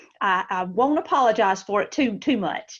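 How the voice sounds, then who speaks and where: A woman speaks with a Southern US accent and lively intonation. Her pitch is fairly high, against a quiet background. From US South, Georgia. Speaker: school telehealth director and nurse. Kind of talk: webinar presentation.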